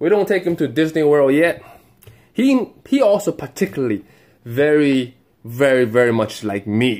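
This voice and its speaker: A man with a normal speaking voice, fairly high-pitched, lively in intonation, at a moderate pace. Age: 30s. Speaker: father with Tourette syndrome. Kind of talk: casual talk to camera.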